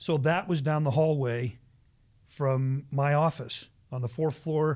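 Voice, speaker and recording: In a normal speaking voice, a man with an American accent and a fairly high pitch speaks fairly slowly with fairly even intonation. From US Midwest, Ohio near Cleveland. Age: 60s. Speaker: pastor. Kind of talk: casual chat.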